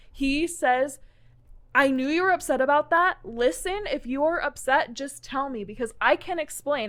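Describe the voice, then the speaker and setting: A loud woman with a high pitch, an animated tone and lively intonation at a moderate pace. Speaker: podcast co-host. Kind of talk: casual chat. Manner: animated, loud.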